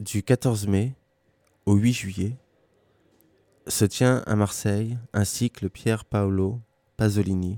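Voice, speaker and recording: In a very clean recording with a silent background and a dry, close sound with no echo, a man speaks at a very slow pace with a fairly low pitch, a dark, mellow tone and monotone, flat intonation. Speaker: radio presenter. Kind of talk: scripted narration. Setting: radio broadcast.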